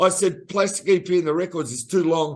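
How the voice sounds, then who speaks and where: At a moderate pace, a man speaks with an Australian accent and ordinary pitch variation against a quiet background. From Australia, Melbourne. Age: 60s. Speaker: singer-songwriter. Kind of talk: interview.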